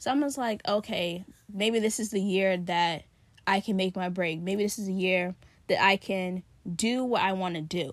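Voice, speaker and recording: Using a normal speaking voice, a woman of medium pitch talks at a moderate pace with ordinary pitch variation. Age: 20s. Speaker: podcast host; college student about to graduate. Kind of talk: casual solo monologue. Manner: conversational with many fillers.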